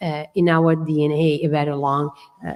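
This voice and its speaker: In an Italian accent, a woman talks with a very deep, low pitch. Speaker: architectural historian. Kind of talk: symposium discussion. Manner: hesitant, many fillers.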